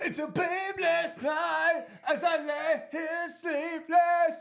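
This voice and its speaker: In a put-on character voice, the speaker whines at an extremely high pitch and a very slow pace. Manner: whiny, emo, like dying.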